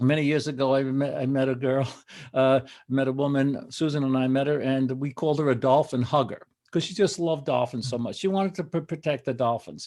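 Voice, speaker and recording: A man with a fairly high pitch, dark, mellow tone, ordinary pitch variation and fairly quick pace. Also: quiet background. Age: 70s. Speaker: photographer and author. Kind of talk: interview. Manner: animated.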